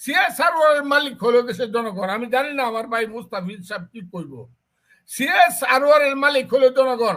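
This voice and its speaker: This man's voice sits at an extremely high pitch, with a bright, sharp tone. His intonation is lively. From Bangladesh. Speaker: BNP politician. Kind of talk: heated interview. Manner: animated, sarcastic repetition.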